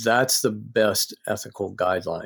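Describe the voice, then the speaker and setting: In an American accent, this man talks with a fairly low pitch. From US South, North Carolina. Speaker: psychology professor and author. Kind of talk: podcast interview.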